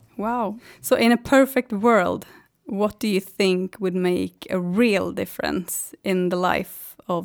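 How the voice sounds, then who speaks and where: At a very slow pace, a woman with a Swedish accent speaks at a medium pitch with ordinary pitch variation, in a very clean recording with a silent background. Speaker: podcast host, tax lawyer. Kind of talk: interview.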